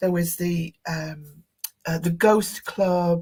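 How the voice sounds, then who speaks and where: In a northern English accent, the voice sounds somewhat breathy with a monotone, flat intonation. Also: woman. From northern England. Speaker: tarot expert and psychic studies teacher. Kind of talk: interview. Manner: halting.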